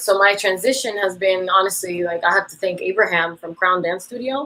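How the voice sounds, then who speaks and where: A woman speaks in a normal speaking voice at medium pitch with ordinary pitch variation. Her pace is fairly quick. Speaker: dance teacher. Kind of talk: interview. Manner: casual, many fillers.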